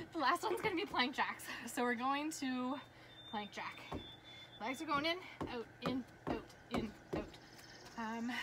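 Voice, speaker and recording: Loud background noise sits behind a woman who talks at a moderate pace with long, frequent pauses. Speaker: fitness instructor. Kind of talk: workout class instruction. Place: garden. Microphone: camera far.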